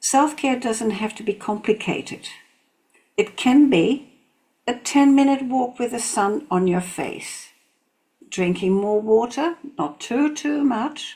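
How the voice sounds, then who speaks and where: A woman speaks at a very slow pace with lively intonation. Her tone is dark, mellow and somewhat breathy. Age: 70s. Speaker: reflexology therapist. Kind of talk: motivational talk to camera.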